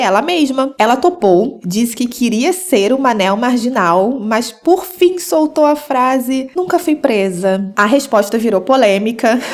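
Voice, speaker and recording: A woman speaks in a high pitch with lively intonation at a fairly slow pace, with hardly any pauses. Her loudness stays very even over noticeable background noise. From Rio de Janeiro, Brazil. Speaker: podcast host. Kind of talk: podcast monologue essay.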